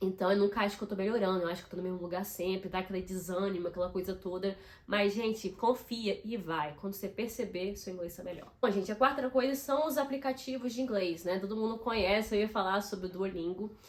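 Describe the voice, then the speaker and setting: A woman talks at a very fast pace with hardly any pauses. Her tone is animated, and her pitch variation is ordinary. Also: medium pitch for a woman. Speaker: YouTuber. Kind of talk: casual vlog tips.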